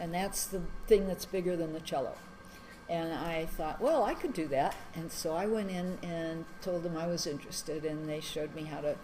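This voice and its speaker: Her intonation fairly even, a woman with a fairly low pitch speaks at a moderate pace amid noticeable background noise and audible room echo. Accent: American. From US Midwest, Madison, Wisconsin. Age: 70s. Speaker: interviewee. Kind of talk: life story interview. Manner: hesitant, many fillers.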